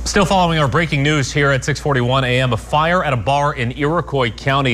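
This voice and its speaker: Over noticeable background noise, a man speaks at a fairly quick pace. His pitch is fairly high, with ordinary variation. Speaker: news anchor. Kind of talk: breaking news report.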